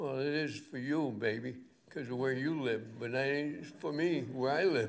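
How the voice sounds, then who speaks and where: A man's medium-pitched voice, fairly slow in pace, with ordinary pitch variation and audible room echo. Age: 80s+. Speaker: public commenter at town meeting. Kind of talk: public comment at planning board meeting.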